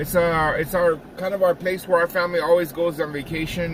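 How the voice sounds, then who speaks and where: Noticeable background noise sits behind a man who speaks fairly quickly in a fairly high pitch. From Mexican heritage. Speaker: barber, vlogger. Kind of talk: casual vlog. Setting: barbershop. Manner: fast; casual, slangy.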